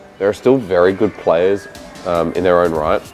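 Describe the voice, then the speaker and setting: Over music in the background, a man with a fairly low pitch talks at a fairly quick pace with ordinary pitch variation. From Oceania. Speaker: esports shoutcaster. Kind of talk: interview answer.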